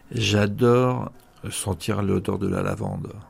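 A man with a fairly low pitch and vocal fry talks with ordinary pitch variation. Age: 50s. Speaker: prison inmate. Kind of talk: interview. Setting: prison.

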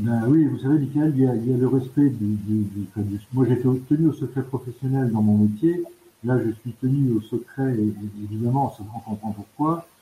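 A man speaks at a moderate pace with a dark, mellow tone and a somewhat breathy quality. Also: medium pitch for a man, ordinary pitch variation. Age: 60s. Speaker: charity volunteer, retired banker. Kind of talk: radio interview. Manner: halting, with many hesitations.

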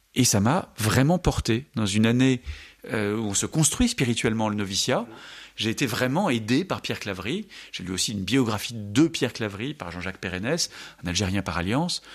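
On a very clean recording with a silent background, a man with a medium pitch speaks at a moderate pace with lively intonation. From France. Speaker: Dominican friar and Islam scholar. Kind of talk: radio interview. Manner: halting, frequent repetitions.

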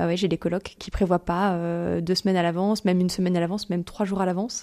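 The voice has a dark, mellow tone. It moves at a very fast pace. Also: woman. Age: 30s. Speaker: volunteer in a shared house for mothers. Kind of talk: testimony.

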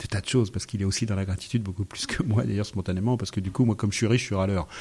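The voice is dark and mellow, somewhat breathy. It moves at a very fast pace. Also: man. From France. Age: 60s. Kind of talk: radio interview. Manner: halting.

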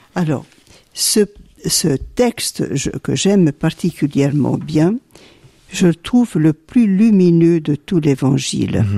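Speaking at a very slow pace with long, frequent pauses, a woman uses a fairly low pitch and a dark, mellow tone. Her intonation is lively, and the sound is dry and close with no echo. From Belgium, Hainaut (born in Sicily, arrived aged 3). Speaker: nun, community superior. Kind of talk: radio interview. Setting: abbey.

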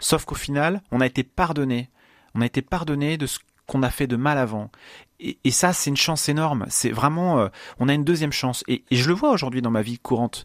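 Fairly quick delivery with ordinary pitch variation, a dry, close sound with no echo, and a very clean recording over a silent background. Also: man, fairly high pitch for a man. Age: 30s. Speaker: truck driver. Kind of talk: testimony. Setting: studio. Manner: halting.

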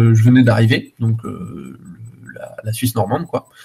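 A somewhat breathy man speaking at a moderate pace. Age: 30s. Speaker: bicycle repair entrepreneur. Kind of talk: radio interview. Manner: halting, many hesitations.

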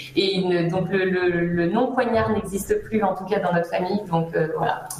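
A woman's medium-pitched voice at a fairly slow pace with ordinary pitch variation, audible room echo and noticeable background noise. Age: 30s. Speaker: business owner, recruitment consultant. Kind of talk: radio interview. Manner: hesitant, many fillers.

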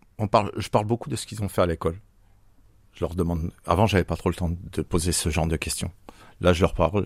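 The voice is somewhat breathy, with fairly even intonation and a very fast pace broken by long, frequent pauses. The recording is very clean, with a silent background and a dry, close sound with no echo. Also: man, very deep, low pitch for a man. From Franche-Comté, France. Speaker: father on sick leave. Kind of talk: interview. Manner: halting.

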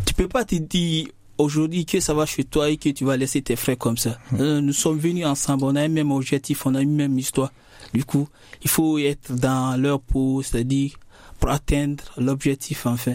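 In a plain, everyday voice, a man talks at a moderate pace with very even loudness, fairly even intonation and a fairly high pitch. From Guinea. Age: young. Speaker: young migrant student. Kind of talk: casual discussion.

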